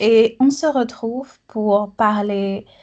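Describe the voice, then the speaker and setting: The woman's intonation is fairly even, and the background is quiet. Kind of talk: casual podcast conversation.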